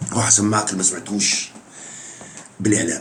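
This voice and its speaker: Audible echo from the room surrounds this man's voice. Background noise is also noticeable. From Jordan. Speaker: football fan YouTuber. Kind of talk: casual vlog monologue. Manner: animated.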